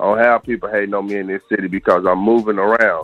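A man speaks at a moderate pace. His fairly low pitch stays monotone, with flat intonation. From Kentucky. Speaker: independent rap artist. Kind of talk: casual interview.

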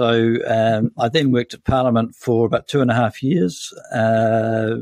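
A man at medium pitch speaks with a New Zealand accent. The recording is very clean, dry and close, with a silent background and no echo. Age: 60s. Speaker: senior journalist. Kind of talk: interview conversation.

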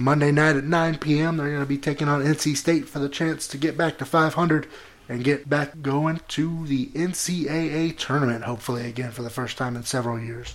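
A man with an ordinary speaking voice, fairly high in pitch, at a moderate pace with fairly even intonation. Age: 30s. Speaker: podcast co-host. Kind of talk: casual chat.

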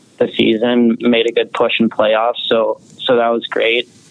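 There is noticeable background noise. A man speaks at a fairly slow pace and a medium pitch. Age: young. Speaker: junior hockey goaltender. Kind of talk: interview.

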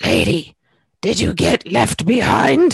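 This raspy, put-on character voice sits at a middle pitch and moves at a fairly slow pace.

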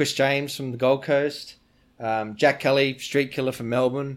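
A man with an Australian accent speaks at a moderate pace, his pitch fairly high. The recording is very clean, with a silent background. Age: 40s. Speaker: BMX rider and brand owner. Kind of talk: casual interview. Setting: in person, near Stuttgart, Germany.

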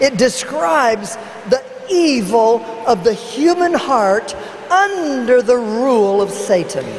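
A woman talks at a very slow pace with a fairly high pitch and very wide pitch swings. Her loudness stays very even over noticeable background noise. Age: 70s. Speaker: evangelist. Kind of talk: sermon. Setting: church.

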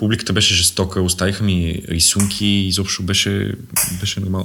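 A man speaks at a very fast pace in a very deep, low voice. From Bulgaria, Sofia. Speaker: stand-up comedian. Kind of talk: casual chat.

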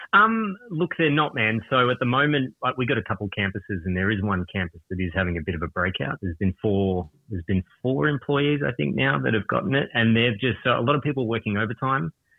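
A man's medium-pitched voice at a very fast pace, with very wide pitch swings and hardly any pauses. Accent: Australian. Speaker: caller. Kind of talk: casual chat. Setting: phone call.

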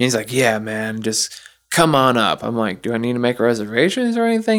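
The recording is very clean with a silent background, and a man with an unremarkable speaking voice talks at a mid-range pitch, his pitch varying in an ordinary way. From US South. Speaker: podcast guest, auto plant worker. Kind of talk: casual chat.

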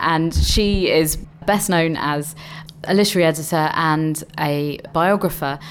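A woman with a fairly low pitch and fairly even intonation, over noticeable background noise. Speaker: festival co-director. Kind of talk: radio interview.

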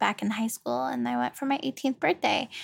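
A woman speaks with an American accent and ordinary pitch variation. The recording is very clean, with a silent background. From Virginia, US. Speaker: podcast host. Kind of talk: casual monologue. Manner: chatty, filler-heavy.

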